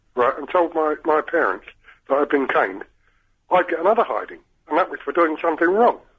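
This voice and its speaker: With long, frequent pauses, a man with a high voice talks at a fairly quick pace and ordinary pitch variation. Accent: London. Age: 60s. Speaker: caller. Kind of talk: phone-in call.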